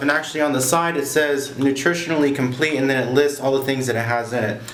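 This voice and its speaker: Over noticeable background noise and audible room echo, a man talks very fast. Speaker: aquarium hobbyist vlogger. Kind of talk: casual product review. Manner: loud; casual with many fillers.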